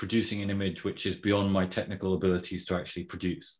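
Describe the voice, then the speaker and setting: In an unremarkable speaking voice, a man talks at a fairly low pitch and fairly quick pace on a very clean recording with a silent background. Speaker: podcast host. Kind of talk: casual interview chat.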